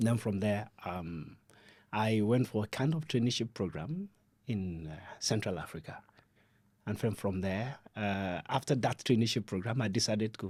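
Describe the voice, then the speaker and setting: In a Nigerian accent, a man speaks at a moderate pace and a fairly low pitch with ordinary pitch variation. The recording is very clean, with a silent background. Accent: Nigerian (Yoruba) English. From southwest Nigeria (Ibadan, Oyo State). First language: Yoruba. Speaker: development adviser, podcast guest. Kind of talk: podcast interview.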